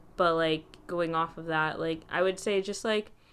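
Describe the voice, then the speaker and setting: In a very clean recording with a silent background, a woman with an unremarkable speaking voice speaks at a medium pitch and with fairly even intonation. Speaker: student podcast host. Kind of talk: casual interview.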